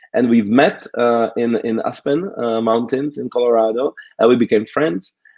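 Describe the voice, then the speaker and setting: A man with a non-native accent talks at a moderate pace, his medium pitch showing ordinary variation. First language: not English. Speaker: conference organizer and speaker. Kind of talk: conference talk. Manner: halting, many fillers.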